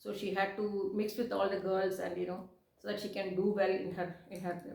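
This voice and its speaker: Noticeable background noise and audible room echo surround this woman's voice. She speaks fairly quickly at a medium pitch. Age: 60s. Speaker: vlogger. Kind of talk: casual personal vlog. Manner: halting, many fillers and repeats.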